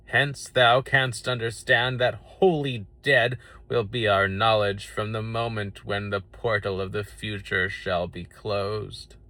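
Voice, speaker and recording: Putting on a character voice, a man speaks at a fairly slow pace and medium pitch with hardly any pauses. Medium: read story. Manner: stately, grave.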